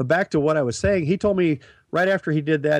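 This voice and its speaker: Over a quiet background, a man with an American accent speaks at a very fast pace. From Nebraska. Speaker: author and former truck driver. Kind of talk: interview. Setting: studio.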